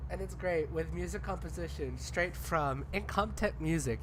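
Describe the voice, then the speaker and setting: A woman's voice with vocal fry and fairly even intonation, at a moderate pace. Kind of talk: casual stream chat.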